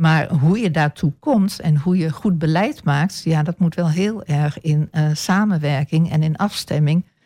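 Her voice is fairly low for a woman, somewhat breathy and dark and mellow in tone, with ordinary pitch variation, hardly any pauses and very even loudness, all dry and close with no echo. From eastern Netherlands (Almelo, Apeldoorn). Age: 60s. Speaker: local politician. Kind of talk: radio interview. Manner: hesitant, many filler sounds.

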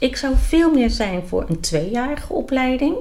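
Somewhat breathy and fairly slow, the voice moves through very wide pitch swings. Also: woman. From The Hague, Netherlands. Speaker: medical pedicure and instructor. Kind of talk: interview.

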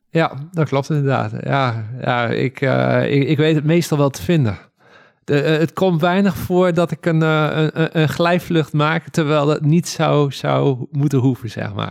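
With ordinary pitch variation and a fairly high pitch, a man talks very slowly. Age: 30s. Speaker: paragliding instructor. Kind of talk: interview. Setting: at home in living room. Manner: halting.

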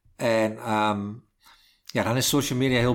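A man talks in a medium pitch, his intonation monotone and flat. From Twente, eastern Netherlands. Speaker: communications professional and author. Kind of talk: casual interview. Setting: at home. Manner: halting, many fillers.

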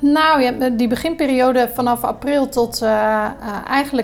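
A woman speaks with a high pitch and fairly even intonation. Her pace is moderate. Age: 30s. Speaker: hospitality entrepreneur and hotel manager. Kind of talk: podcast interview. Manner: hesitant, many filler sounds.

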